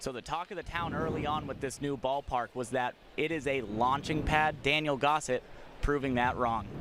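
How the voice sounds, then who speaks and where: A man talks at a moderate pace with a fairly high pitch and fairly even intonation, noticeable background noise behind him. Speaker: baseball sideline reporter and play-by-play announcer. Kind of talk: sideline reporter report to the broadcast booth. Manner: conversational, informative.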